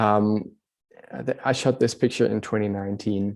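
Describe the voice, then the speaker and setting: Here a man speaks at a fairly low pitch with a dark, mellow tone. The background is quiet. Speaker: travel and adventure photographer. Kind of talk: online talk or webinar presentation. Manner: halting, many fillers.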